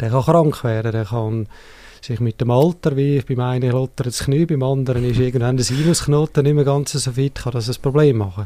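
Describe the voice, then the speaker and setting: A man talks at a fairly quick pace in a medium-pitched voice. His tone is dark and mellow, and his intonation fairly even. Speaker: cardiac device specialist. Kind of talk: interview.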